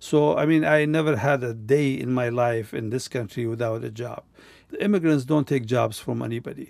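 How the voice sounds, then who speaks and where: In a Kurdish accent, a man talks at a moderate pace and medium pitch with ordinary pitch variation. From Kurdistan. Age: 70s. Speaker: retired refugee and former teacher. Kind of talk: personal conversation recounting life story. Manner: halting.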